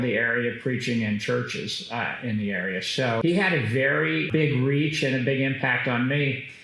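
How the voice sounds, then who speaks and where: A man with an American accent and lively intonation at a moderate pace, amid noticeable background noise and audible room echo. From Kansas, US. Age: 60s. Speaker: business executive. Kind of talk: interview. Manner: hesitant fillers.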